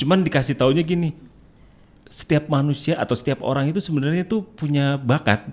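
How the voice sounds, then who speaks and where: A man with a plain, everyday voice, fairly high pitch, ordinary pitch variation and a fairly quick pace. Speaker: voice-over and dubbing artist. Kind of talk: casual chat.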